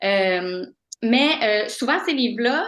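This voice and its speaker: Against a quiet background, a woman speaks with lively intonation and a fairly high pitch. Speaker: postdoctoral researcher. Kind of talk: lecture. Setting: video call. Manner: fast; halting.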